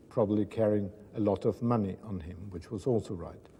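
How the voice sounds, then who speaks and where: A man talks at a moderate pace with fairly low pitch and fairly even intonation. His tone is dark and mellow, and somewhat breathy. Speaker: son or daughter of a Nazi war criminal. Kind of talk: interview testimony. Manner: halting, frequent fillers.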